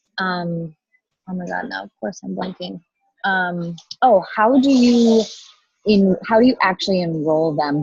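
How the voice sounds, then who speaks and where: A woman talks at a moderate pace in a somewhat breathy, fairly low voice. Her intonation is lively. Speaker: participant. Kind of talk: casual chat. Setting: video call from a coffee shop.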